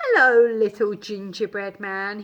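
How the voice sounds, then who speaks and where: Using a put-on character voice, a female-sounding speaker goes at a fairly slow pace with a medium pitch for a woman. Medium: read story. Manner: smooth, coaxing.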